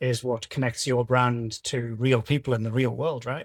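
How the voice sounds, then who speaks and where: A man with a British accent speaks at a moderate pace in a medium pitch, his somewhat breathy voice fairly even in intonation, recorded very cleanly with a dry, close sound, no echo and a silent background. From UK. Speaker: podcast host. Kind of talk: interview.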